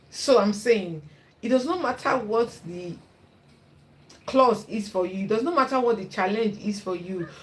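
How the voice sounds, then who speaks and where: A woman with a strong Nigerian accent speaks at a moderate pace in a fairly high, somewhat breathy voice with ordinary pitch variation. Her loudness swings widely, and her pauses are long and frequent. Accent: thick Igbo Nigerian. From Nigeria (Igbo). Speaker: YouTuber and content creation coach. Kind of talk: casual advice talk to camera. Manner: animated, encouraging.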